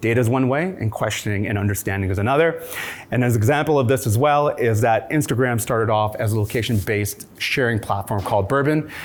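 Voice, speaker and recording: Speaking at a very fast pace, a man with a medium pitch keeps his loudness very even and his pitch variation ordinary, amid noticeable background noise and audible room echo. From immigrant from a war-torn country. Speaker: startup founder and CEO. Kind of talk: conference talk.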